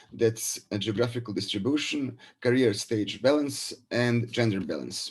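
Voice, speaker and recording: Somewhat breathy, a man speaks at a fairly slow pace. His pitch is medium, with ordinary variation. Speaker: professor. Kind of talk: presentation. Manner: halting.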